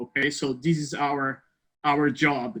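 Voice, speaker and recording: A man with a Portuguese accent speaks at a fairly slow pace. His pitch is fairly high and his tone bright and sharp. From Brazil. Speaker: university placement advisor. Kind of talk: informational presentation. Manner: friendly, hesitant with fillers.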